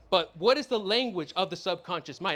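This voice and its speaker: A man with a Californian accent speaks at a fairly quick pace in an animated tone. His voice is high-pitched, with ordinary pitch variation. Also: very clean recording, silent background. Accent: Californian American English. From US, San Diego. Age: 20s. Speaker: law of attraction coach. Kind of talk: motivational talk to live audience. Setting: stage with audience and slides. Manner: animated, repetitive.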